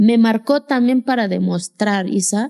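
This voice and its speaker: A woman with an Oaxacan accent and a dark, mellow tone, at a fairly slow pace, in a dry, close sound with no echo. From Mexico, Sierra Sur of Oaxaca. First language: Zapotec (speaking Spanish). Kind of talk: interview testimony.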